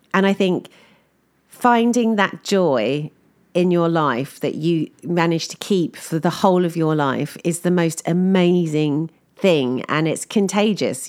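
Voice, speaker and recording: The speaker has an English accent and lively intonation. The pace is fairly slow. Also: woman. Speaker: podcaster. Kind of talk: casual monologue.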